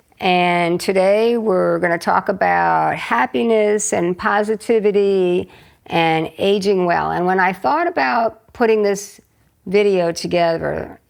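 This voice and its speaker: An unremarkable speaking voice from a woman, medium in pitch, with very even loudness and ordinary pitch variation. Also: fairly slow pace, quiet background. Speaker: retired physician, interviewer. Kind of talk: interview questions.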